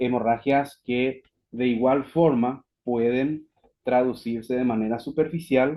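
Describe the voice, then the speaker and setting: Fairly even intonation marks this very slow delivery. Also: man. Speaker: physician, webinar speaker. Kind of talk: lecture. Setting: online webinar.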